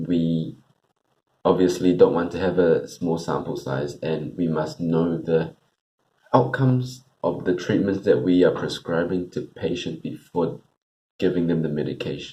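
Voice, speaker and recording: Mumbling at a fairly slow pace, a man speaks in a very deep, low voice with a dark, mellow tone and ordinary pitch variation. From Singapore and New Zealand. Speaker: medical student. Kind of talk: practice interview answer.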